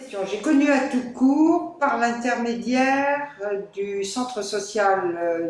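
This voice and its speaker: Over noticeable background noise and audible room echo, a woman with a fairly high voice talks very slowly, with lively intonation. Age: 70s. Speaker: retired volunteer teacher. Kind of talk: interview testimony. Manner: hesitant, many fillers.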